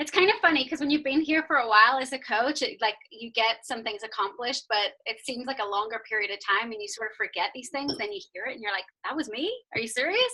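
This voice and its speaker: A woman with an American accent talks very fast at a high pitch, her tone bright and sharp and her intonation lively. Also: big swings in loudness. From Northern Ireland, Belfast. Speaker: fitness coach. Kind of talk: testimony. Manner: casual, many fillers.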